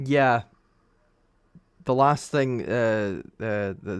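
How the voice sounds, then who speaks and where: In a Scottish accent, the speaker uses fairly even intonation on a very clean recording with a silent background. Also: man. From Scotland. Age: young. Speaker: F1 commentator. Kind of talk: live race commentary stream. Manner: casual, conversational.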